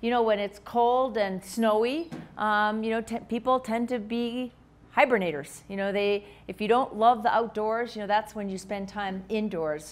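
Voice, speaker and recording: Her pitch varies in an ordinary way as a woman talks at a moderate pace. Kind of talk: lecture. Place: hall.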